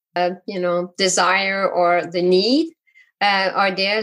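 A woman's medium-pitched voice in a Quebec accent, at a very slow pace. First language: French. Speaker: physician and coach. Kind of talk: interview. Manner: hesitant, many fillers.

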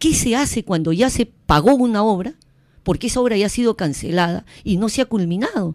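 Very wide pitch swings in a woman's voice of medium pitch. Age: 50s. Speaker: mayoral candidate. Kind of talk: campaign interview. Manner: emphatic.

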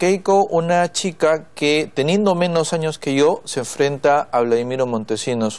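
At a fairly slow pace, a man says his lines. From northern Peru. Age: 30s. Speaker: congressman; politician guest. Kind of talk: TV interview. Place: studio. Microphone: lapel.

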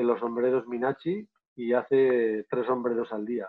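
A man talks at a fairly slow pace, and the background stays quiet. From Navarre, Spain. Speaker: photographer and filmmaker, travel guide; travel guide. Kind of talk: live online interview. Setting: live video stream. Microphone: video call.

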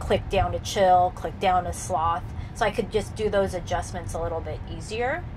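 A woman speaks at a moderate pace. Noticeable background noise is present. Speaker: channel host. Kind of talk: casual explanatory chat. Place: car.

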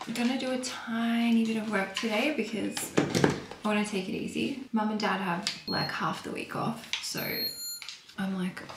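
A woman with a medium pitch talks at a moderate pace with fairly even intonation, and room echo is audible.

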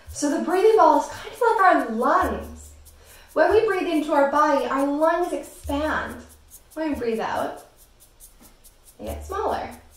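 A woman with a high-pitched voice talks at a fairly slow pace, leaving long, frequent pauses, her loudness swinging widely and the room echo audible. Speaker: breathing exercise guide for kids. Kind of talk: guided exercise instruction. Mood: calm, gentle, slow. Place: home room. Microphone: camera far.

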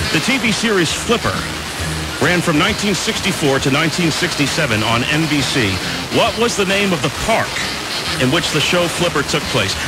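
Loud background noise runs under a man speaking at a moderate pace, the sound dry with no echo. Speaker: radio DJ. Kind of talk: oldies radio show host patter. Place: studio.

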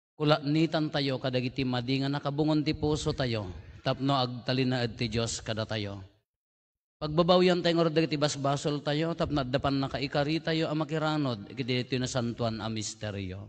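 The man talks at a moderate speed. His pitch rises and falls in an ordinary way. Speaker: priest leading Mass. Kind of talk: liturgical address and prayer. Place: church. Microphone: podium.

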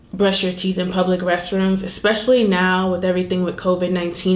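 Audible room echo at a moderate pace. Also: woman. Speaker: lifestyle vlogger. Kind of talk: casual vlog chat.

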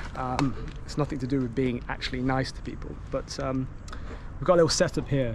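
Against noticeable background noise, a man's voice comes through somewhat breathy. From Nottingham, England; England. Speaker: food delivery rider and video creator; video creator. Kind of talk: vlog narration. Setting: outdoors. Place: street. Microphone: phone near.

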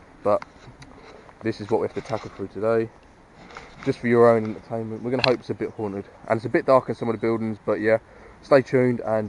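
Over noticeable background noise, the voice moves at a very fast pace in a dry sound with no echo. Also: man. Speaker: urban explorer vlogger. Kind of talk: casual vlog chat. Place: open country. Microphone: phone near.

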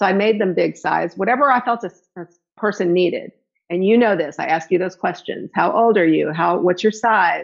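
A woman speaks at a moderate pace with ordinary pitch variation and some vocal fry. The background is quiet. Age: 60s. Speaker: hula hoop fitness instructor. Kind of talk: interview. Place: home room. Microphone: phone near.

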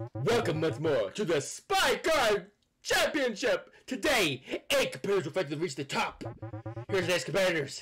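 A man puts on a character voice in a high pitch. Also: moderate pace. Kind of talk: announcer hype. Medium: game stream.

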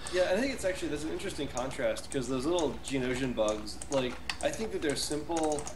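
Over noticeable background noise, a man speaks at a very fast pace with a fairly high pitch and ordinary pitch variation. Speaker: game programmer. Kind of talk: casual interview conversation.

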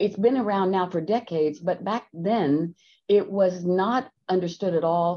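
At a fairly slow pace, a woman speaks in a dark, mellow tone with ordinary pitch variation. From Texas. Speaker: company executive. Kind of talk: webinar presentation. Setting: video call. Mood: warm, enthusiastic. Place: office. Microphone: video call.

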